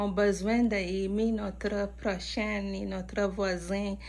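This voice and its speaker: Audible room echo hangs around this woman as she speaks. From India, Mumbai. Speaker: interviewer. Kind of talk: interview.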